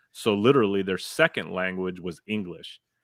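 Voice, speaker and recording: An animated man with a fairly low pitch at a fairly slow pace. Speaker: streamer co-host. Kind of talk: casual chat.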